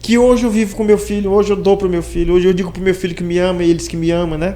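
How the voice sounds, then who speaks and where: Over noticeable background noise, a man with a high pitch speaks at a very fast pace with fairly even intonation. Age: 60s. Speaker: podcast host. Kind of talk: interview.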